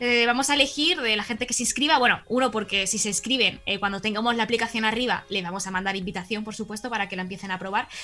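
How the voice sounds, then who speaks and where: A woman's fairly high voice with a Spanish accent, at a very fast pace with hardly any pauses and ordinary pitch variation, over noticeable background noise. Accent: Spanish (Spain). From Spain. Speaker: audiovisual communicator and startup co-founder. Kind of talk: casual interview.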